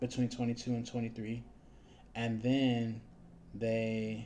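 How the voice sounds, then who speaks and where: With a dark, mellow tone and monotone, flat intonation, a man of medium pitch speaks at a moderate pace in audible room echo. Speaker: teacher. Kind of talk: lecture.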